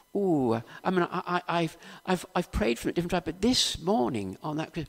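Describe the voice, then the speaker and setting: The voice has a South Wales accent and lively intonation. Its pace is moderate. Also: man. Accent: Welsh (south Wales). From Wales, Cardiff area. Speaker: preacher. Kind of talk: sermon.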